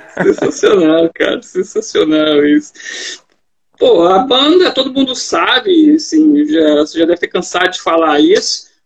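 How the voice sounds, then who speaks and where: A man speaks at an extremely high pitch and a fairly slow pace. His pitch swings very widely. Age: 40s. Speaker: podcast host. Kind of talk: casual interview chat. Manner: animated.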